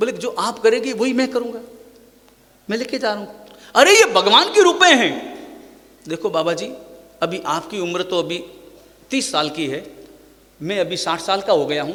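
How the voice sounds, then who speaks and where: Speaking at a moderate pace with long, frequent pauses, a man projects a raised, high voice with very wide pitch swings over noticeable background noise and audible room echo. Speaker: Jain monk preacher. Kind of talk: sermon.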